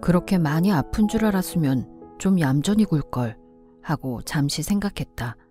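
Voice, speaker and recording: A woman speaks at a fairly slow pace with a very deep, low pitch and very even loudness. Music plays in the background. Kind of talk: audiobook novel reading.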